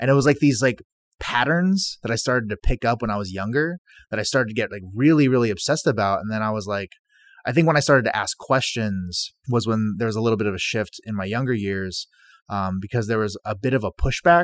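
A man with an American accent rattles along at a very fast pace, medium in pitch with lively intonation, in a dry, close sound with no echo and a very clean, silent background. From Korean American, military family. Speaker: chef. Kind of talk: interview.

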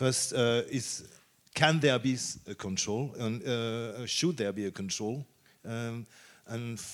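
A man talks at a very slow pace, his medium pitch carrying ordinary pitch variation. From France. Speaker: moderator. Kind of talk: panel discussion. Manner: halting.

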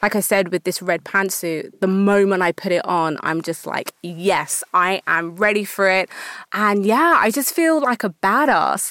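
In an ordinary speaking voice, a woman with a medium pitch talks at a fairly slow pace with lively intonation, her dry, close sound carrying no echo on a very clean recording with a silent background. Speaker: fashion entrepreneur. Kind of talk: interview. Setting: studio.

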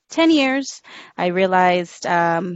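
Her pitch medium and her intonation lively, a woman talks in a normal speaking voice. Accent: American. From South Texas. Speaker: youth mentor and English teacher. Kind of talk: interview.

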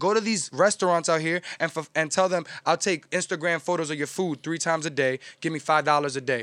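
Speaking with a New York accent, a man talks at a fairly quick pace in a fairly high voice with ordinary pitch variation, recorded very cleanly against a silent background with a dry, close sound and no echo. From New York City, Washington Heights. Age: 20s. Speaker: music promoter and media network founder. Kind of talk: casual chat. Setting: studio.

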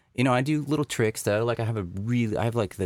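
Lively intonation in an American accent, on a very clean recording with a silent background. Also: man. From Texas. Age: 40s. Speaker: designer and entrepreneur. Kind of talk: casual chat.

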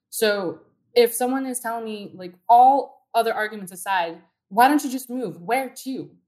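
With an American accent and an unremarkable speaking voice, a woman speaks at a moderate pace and a fairly high pitch, using lively intonation and big swings in loudness. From Southern California (Downey, LA County). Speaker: community activist. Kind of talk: interview.

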